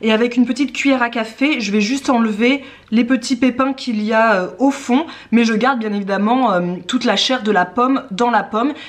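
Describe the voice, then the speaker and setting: A high-pitched woman at a fairly quick pace. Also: ordinary pitch variation. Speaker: cooking vlogger. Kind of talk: casual cooking tutorial. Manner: fast.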